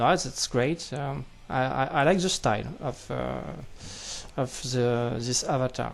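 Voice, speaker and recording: Speaking at a fairly slow pace in a French accent, the voice carries vocal fry. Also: man, medium pitch for a man, ordinary pitch variation. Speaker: card game youtuber. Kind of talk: unboxing commentary. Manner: halting, many fillers.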